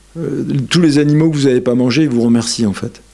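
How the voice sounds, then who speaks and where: Ordinary pitch variation marks speech at a moderate pace. Background noise is noticeable throughout. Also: man. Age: 60s. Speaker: yoga lecturer. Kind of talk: lecture. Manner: animated.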